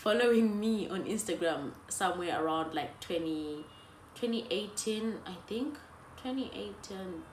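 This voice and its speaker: Audible room echo and noticeable background noise accompany a woman at medium pitch whose intonation is lively. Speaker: YouTuber. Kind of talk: storytime vlog. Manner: animated.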